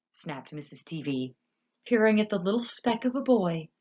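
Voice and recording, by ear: A passage is read aloud in a natural voice. The intonation is lively and the backdrop is quiet.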